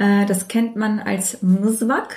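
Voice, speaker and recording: A woman's voice is heard. It rests at a medium pitch. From Germany, Turkish parents. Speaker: dentist. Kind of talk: casual chat. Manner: hesitant, many fillers.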